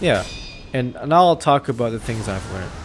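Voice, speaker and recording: A moderate speaking pace with music in the background. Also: man. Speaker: gaming youtuber. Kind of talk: casual chat. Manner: halting.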